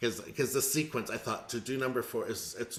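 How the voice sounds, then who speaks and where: The voice is quiet, with ordinary pitch variation. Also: man. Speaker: music teacher. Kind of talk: casual chat. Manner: speaking quietly.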